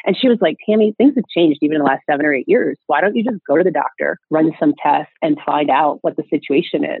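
A woman speaks very fast with hardly any pauses, using a fairly low pitch and lively intonation. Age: 40s. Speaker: single mother by choice. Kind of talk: interview conversation.

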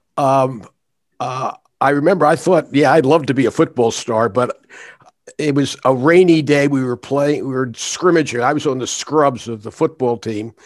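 With an American accent, a man uses a normal speaking voice at a fairly high pitch, with ordinary pitch variation and a moderate pace. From Philadelphia. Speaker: retired judge and arbitrator. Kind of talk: interview.

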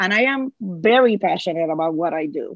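Her Puerto Rican accent is strong, and she talks at a moderate pace with ordinary pitch variation. The woman's sound is dry and close, with no echo. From Puerto Rico. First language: Spanish. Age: 50s. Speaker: Spanish teacher. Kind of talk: casual interview. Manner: cheerful, laughs easily.

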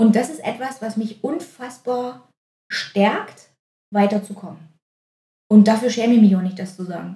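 The voice is dark and mellow, somewhat breathy, with big swings in loudness and long, frequent pauses. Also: woman, fairly high pitch for a woman, ordinary pitch variation, moderate pace. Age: 30s. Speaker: physiotherapist and osteopath. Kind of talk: casual chat.

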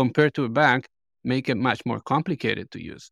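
On a very clean recording with a silent background, a man with a Spanish accent speaks at a fairly quick pace, with medium pitch, ordinary pitch variation and a dry, close sound with no echo. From Colombia. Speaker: podcast host. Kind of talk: interview.

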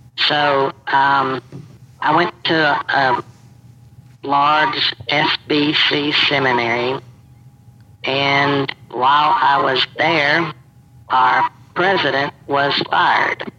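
The speech comes at a very slow pace with long, frequent pauses, fairly even intonation and very even loudness over noticeable background noise. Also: man, fairly high pitch for a man. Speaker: anonymous social media account owner. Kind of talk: interview.

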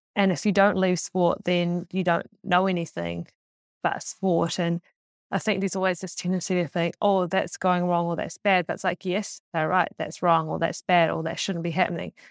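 A woman with a New Zealand accent, a fairly low pitch, monotone, flat intonation and a moderate pace, in a very clean recording with a silent background and a dry, close sound with no echo. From New Zealand, Auckland. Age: 20s. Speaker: track and field athlete. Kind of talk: casual chat.

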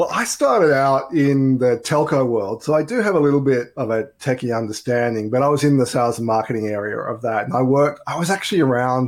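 An enthusiastic man with an Australian accent talks at a fairly quick pace, medium pitch and ordinary pitch variation. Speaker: business networking director. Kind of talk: interview.

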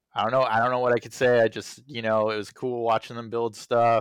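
A man talks at a moderate pace and medium pitch in a normal speaking voice. The sound is dry and close, with no echo. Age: 30s. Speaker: podcast co-host, theater technician. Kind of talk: casual chat.

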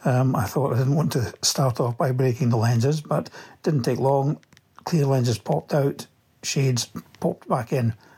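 A somewhat breathy, dark, mellow voice with a Scottish accent at a moderate pace, on a very clean recording with a silent background. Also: man. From Scotland, Livingston. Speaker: listener sending a product review. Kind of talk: recorded product review.

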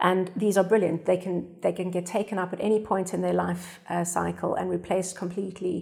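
A woman with a medium-pitched voice and vocal fry speaks at a fairly quick pace. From South Africa. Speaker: sustainability design consultant. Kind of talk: panel discussion. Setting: studio.

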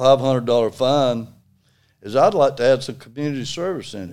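A man with an Alabama accent speaks at a medium pitch with ordinary pitch variation. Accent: Alabama Southern. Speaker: retired construction worker and litter volunteer. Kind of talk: casual interview.

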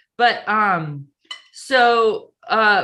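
The speaker is a woman with medium pitch. Her tone is bright and sharp. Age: 50s. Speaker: comedian. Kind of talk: casual chat.

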